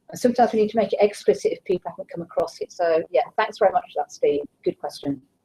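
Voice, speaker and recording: A woman speaks at a very fast pace with big swings in loudness. The sound is dry and close, with no echo. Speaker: teacher trainer. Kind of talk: live online q&a session.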